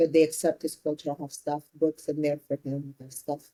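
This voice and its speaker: A woman with an Ethiopian accent speaks at a moderate pace in a very deep, low pitch, her dark, mellow tone delivered in a monotone, flat intonation with a dry, close sound and no echo. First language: Amharic. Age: 30s. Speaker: entrepreneur. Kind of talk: interview.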